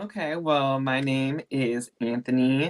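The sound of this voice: The pace is slow. Pitch shows ordinary variation.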